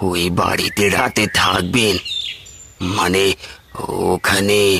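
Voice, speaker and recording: A man does a raspy, cartoonish character voice. His pitch is fairly low and his intonation is monotone and flat. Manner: rambling, hesitant.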